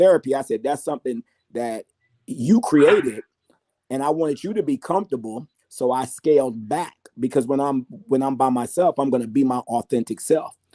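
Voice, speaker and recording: A man talks at a fairly quick pace in a fairly high pitch with ordinary pitch variation. His tone is animated. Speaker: panel guest. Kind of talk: casual chat. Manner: loud.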